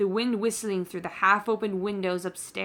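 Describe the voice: Someone reads aloud in a plain way. Intonation holds fairly even throughout.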